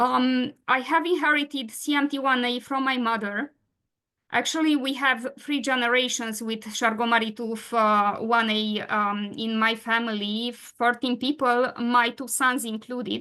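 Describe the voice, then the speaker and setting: A woman with a Romanian accent, a high pitch and a bright, sharp tone, fairly even intonation, fairly slow pace and a quiet background. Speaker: patient advocate and webinar moderator. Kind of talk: webinar presentation. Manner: halting, many fillers.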